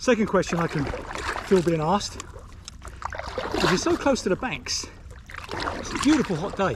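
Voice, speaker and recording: A man's high-pitched, relaxed voice with long, frequent pauses over noticeable background noise. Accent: British. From Britain. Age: 60s. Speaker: retired vlogger. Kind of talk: casual vlog talk to camera. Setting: outdoors on a river. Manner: relaxed, chatty.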